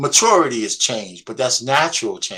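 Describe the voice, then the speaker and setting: With a bright, sharp tone, a man talks at a moderate speed. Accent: American. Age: 60s. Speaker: panel guest. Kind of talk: casual chat. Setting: live stream.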